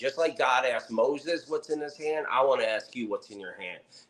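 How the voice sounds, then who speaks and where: A man speaks with an American accent. His pace is moderate and his pitch variation ordinary. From New Jersey (Camden). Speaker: motivational speaker. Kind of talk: interview with faith-based motivational talk. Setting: podcast interview. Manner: animated.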